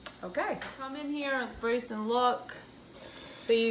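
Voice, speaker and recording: A woman's high-pitched, monotone, flat voice in an American accent over noticeable background noise. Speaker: home cooking video host. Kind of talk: cooking tutorial. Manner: casual, with fillers and restarts.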